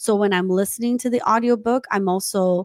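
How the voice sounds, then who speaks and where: Speaking at a moderate pace with a non-native accent, the voice has a dry, close sound with no echo on a very clean recording with a silent background. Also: woman. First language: not English. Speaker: tech entrepreneur. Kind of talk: interview. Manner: halting.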